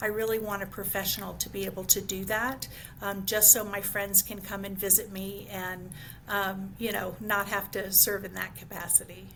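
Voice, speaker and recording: A woman with an American accent, a bright, sharp tone, vocal fry, monotone, flat intonation and big swings in loudness, with audible room echo. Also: medium pitch for a woman, moderate pace. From Florida. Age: 50s. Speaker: certified senior advisor. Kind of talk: podcast interview. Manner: halting, many fillers.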